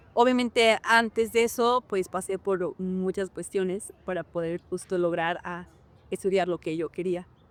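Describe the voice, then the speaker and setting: Her sound dry and close with no echo, a woman speaks at a fairly slow pace and medium pitch with fairly even intonation. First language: Hñähñu (Otomi) (speaking Spanish). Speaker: actress and dancer. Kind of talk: interview. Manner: hesitant, many fillers.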